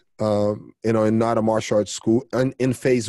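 With a Brazilian accent and a dark, mellow tone, a man speaks at a medium pitch and moderate pace with ordinary pitch variation, the sound dry and close with no echo against a quiet background. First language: Portuguese. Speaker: jiu-jitsu coach and champion. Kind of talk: casual interview chat. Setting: video call.

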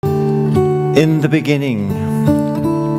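Loud background noise fills the recording. Through it, a man talks. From Ireland. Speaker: storyteller. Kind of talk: live stage storytelling with guitar accompaniment. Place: stage. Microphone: headset.

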